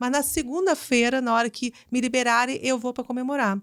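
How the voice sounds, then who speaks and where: In a strong Carioca accent, a woman speaks at a fairly quick pace with a high pitch and ordinary pitch variation. The very clean recording has a silent background and a dry, close sound with no echo. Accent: carioca accent, still strong. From Rio de Janeiro, Brazil. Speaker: business executive. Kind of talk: interview.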